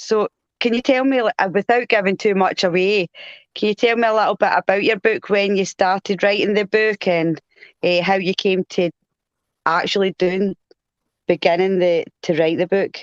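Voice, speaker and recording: A woman with a strong Glasgow accent speaks at a moderate pace and medium pitch, with fairly even intonation and very even loudness. The sound is dry and close, with no echo. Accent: strong Glasgow Scottish. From Scotland, Glasgow. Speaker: co-host of paranormal live show. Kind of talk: casual interview chat. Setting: live video stream.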